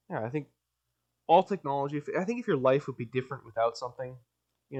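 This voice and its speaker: A man speaks at a very fast pace. His medium-pitched voice shows ordinary pitch variation. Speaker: solo podcaster. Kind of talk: casual monologue. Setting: home basement. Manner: rambling, hesitant with many fillers.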